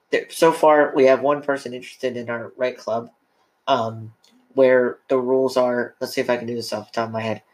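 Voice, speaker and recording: This man talks at a fairly quick pace in a medium pitch. His intonation stays flat and monotone. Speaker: podcast host. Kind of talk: casual chat. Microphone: too close to the mic.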